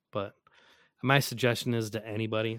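With an American accent, a man talks at a fairly quick pace in a fairly low pitch, an ordinary speaking voice. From US Midwest. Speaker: maker and painter. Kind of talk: casual chat.

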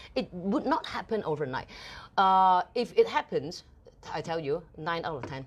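Speaking at a moderate pace with a Cantonese accent, a woman uses lively intonation on a very clean recording with a silent background. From Hong Kong. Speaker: TV host and entrepreneur. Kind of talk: interview. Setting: live studio broadcast.

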